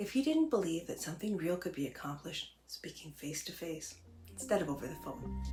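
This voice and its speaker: Music plays in the background of fairly quick speech. The loudness swings widely. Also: woman. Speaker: political scientist. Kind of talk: explainer talk to camera.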